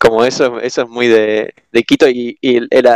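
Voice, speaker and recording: A man speaks very slowly at a medium pitch, the sound dry and close with no echo. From Argentina. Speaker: exchange student guest. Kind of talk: casual chat.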